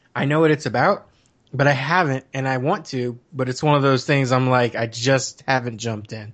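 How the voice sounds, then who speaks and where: A man's unremarkable speaking voice, medium in pitch, with an American accent, a moderate pace and ordinary pitch variation. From Arizona. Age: 30s. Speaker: gaming website writer. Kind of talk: casual chat.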